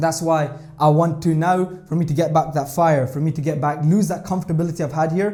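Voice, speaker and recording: Talking at a fairly quick pace, a man with a Scottish accent has a fairly high voice with a dark, mellow tone. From Scotland. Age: 20s. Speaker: trader and vlogger. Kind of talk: vlog monologue. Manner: animated, filler-heavy.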